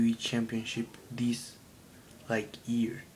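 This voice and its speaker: With a Colombian accent, a man speaks at a very slow pace and a medium pitch. Noticeable background noise runs under the recording. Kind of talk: casual talk to camera.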